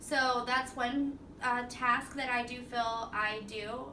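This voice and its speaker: Audible room echo surrounds this recording. A woman speaks at a fairly high pitch. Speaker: apartment assistant manager. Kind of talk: self-presentation video for award nomination. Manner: monotone.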